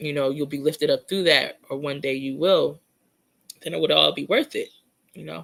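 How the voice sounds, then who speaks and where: At a moderate pace, a woman speaks with big swings in loudness. Long pauses come often. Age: 40s. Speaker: psychic true crime livestreamer. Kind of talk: casual livestream chat reading comments. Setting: live stream.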